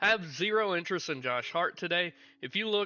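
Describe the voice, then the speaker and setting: A man's voice is heard. It sits high in pitch. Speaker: daily fantasy sports analyst. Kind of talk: livestream sports betting analysis. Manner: fast.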